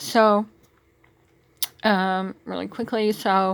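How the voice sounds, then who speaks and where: Her pitch medium, a woman speaks in a monotone with flat intonation. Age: 60s. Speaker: spiritual vlogger. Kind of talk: monologue. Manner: halting, many fillers.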